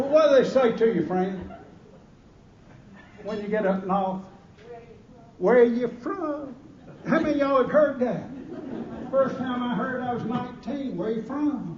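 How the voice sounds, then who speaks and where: A man with a Southern US accent speaks at an extremely high pitch and a fairly slow pace, with long, frequent pauses and ordinary pitch variation. There is noticeable background noise and audible room echo. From Georgia, US South. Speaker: after-dinner keynote speaker. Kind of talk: humorous after-dinner speech. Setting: stage with audience at a gala dinner. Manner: animated.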